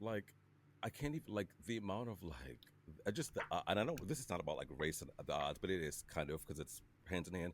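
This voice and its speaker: With vocal fry and a very deep, low pitch, a man talks at a fairly quick pace while his voice makes very wide pitch swings. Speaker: podcast host. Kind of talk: casual chat. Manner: animated.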